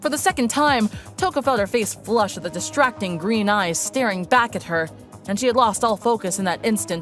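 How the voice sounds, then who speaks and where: Over music in the background, a woman talks at medium pitch and a fairly quick pace with lively intonation. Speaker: voice actor. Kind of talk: audiobook narration.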